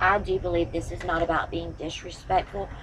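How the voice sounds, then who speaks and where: Over noticeable background noise, a woman speaks at a moderate pace in a monotone, flat intonation. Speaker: tarot reader. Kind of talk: tarot reading to camera. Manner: firm, motherly pep talk. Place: home room. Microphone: camera far.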